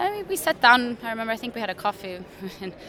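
Noticeable background noise and audible room echo both surround the woman as she speaks. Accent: Swedish. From Sweden. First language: Swedish. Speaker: journalist and filmmaker. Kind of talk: interview. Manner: halting.

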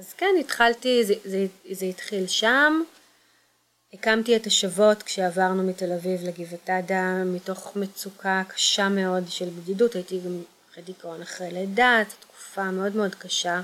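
A woman with an ordinary speaking voice talks at a moderate pace and medium pitch. Her intonation stays fairly even while her loudness swings widely. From Israel, Kfar Saba area. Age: 40s. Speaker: social entrepreneur. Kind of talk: personal testimony.

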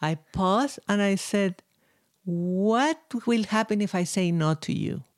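Speaking with a Spanish accent, a woman uses lively intonation at medium pitch and a very slow pace. Loudness stays very even in a very clean recording with a silent background. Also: dry, close sound with no echo. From Chile, Santiago. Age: 60s. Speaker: violinist. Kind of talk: interview.

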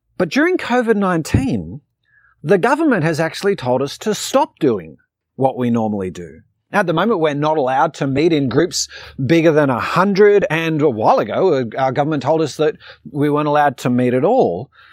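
This man's voice sits fairly high and swings very widely in pitch. He talks at a fairly quick pace. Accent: Australian. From Australia. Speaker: pastor. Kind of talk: sermon. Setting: online church video.

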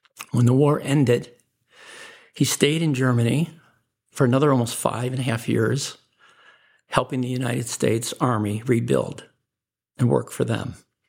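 Speaking with an American accent at a medium pitch, a man keeps a moderate pace and fairly even intonation, with long, frequent pauses. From Chicago, US Midwest. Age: 60s. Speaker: businessman. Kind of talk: interview, life story.

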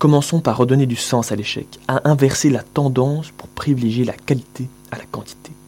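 A man speaks at a medium pitch in a dark, mellow tone. His intonation is fairly even. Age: young. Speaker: young writer, former student. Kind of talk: reading own essay aloud.

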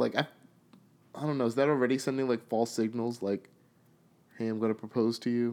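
Speaking with an American accent at a fairly quick pace, a man keeps a medium pitch and monotone, flat intonation, with long, frequent pauses. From New York. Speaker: podcast co-host. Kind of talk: casual chat.

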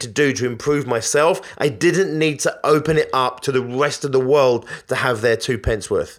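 Here a man speaks with a British accent at a moderate pace. His pitch is fairly high, with ordinary variation. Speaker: business podcast host and coach. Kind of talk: motivational monologue. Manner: animated.

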